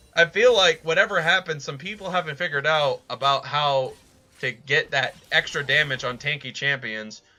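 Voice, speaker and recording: Music in the background behind a man's moderately paced speech. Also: ordinary pitch variation. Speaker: esports caster. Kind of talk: live commentary. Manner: animated.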